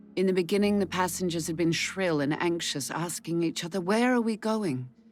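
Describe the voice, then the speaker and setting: Music plays in the background. A woman speaks at a fairly low pitch with ordinary pitch variation. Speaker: actress, audiobook narrator. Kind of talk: audiobook reading.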